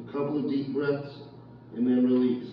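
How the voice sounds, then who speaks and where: A man speaks with strong room echo. Music plays in the background. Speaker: fitness instructor. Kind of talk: workout class instruction. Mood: calm, encouraging. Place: gym. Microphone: camera far.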